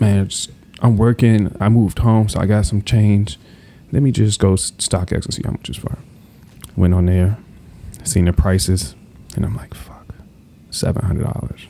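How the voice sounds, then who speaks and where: A man with an American accent speaks at a fairly low pitch, pausing long and often. Noticeable background noise runs underneath. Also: ordinary pitch variation, moderate pace. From US Mid-Atlantic, Prince George's County, Maryland. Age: 20s. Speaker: sneaker collector. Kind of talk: casual chat.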